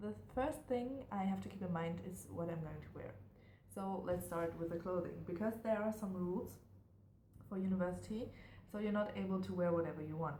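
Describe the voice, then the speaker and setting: With a German accent, a woman with a fairly low voice speaks at a fairly quick pace with lively intonation, amid audible room echo. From Germany. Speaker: university student vlogger. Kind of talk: casual vlog monologue. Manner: hesitant, many fillers.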